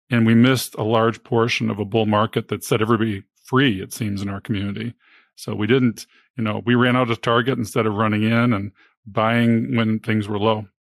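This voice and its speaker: In a very clean recording with a silent background and a dry, close sound with no echo, a man talks at a fairly quick pace with medium pitch and monotone, flat intonation. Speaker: physician and podcast host. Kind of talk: podcast interview.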